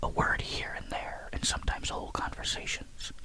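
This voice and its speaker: Someone whispers at a moderate pace in a calm tone. There is noticeable background noise. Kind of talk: sleep story. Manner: whispered; calm, soft.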